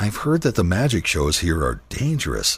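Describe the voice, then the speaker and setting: A man performs a put-on character voice at a moderate pace. His fairly low pitch swings very widely. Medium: read story.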